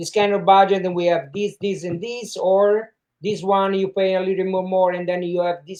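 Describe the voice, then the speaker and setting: Dark and mellow in tone, a man's voice sits at a high pitch. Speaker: martial arts camp organizer. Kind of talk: interview. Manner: halting.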